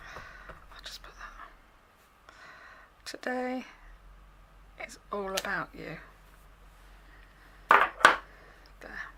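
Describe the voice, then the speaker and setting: Whispering very slowly amid noticeable background noise, a woman leaves long, frequent pauses, her loudness swinging widely. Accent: English. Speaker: craft demonstrator. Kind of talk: tutorial. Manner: casual.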